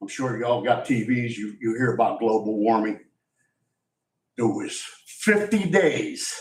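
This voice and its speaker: This man speaks fairly slowly and with lively intonation. His voice carries audible room echo. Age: 60s. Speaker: member of the public at public comment. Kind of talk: public comment at council meeting. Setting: county commissioners' meeting. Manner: halting, repetitive.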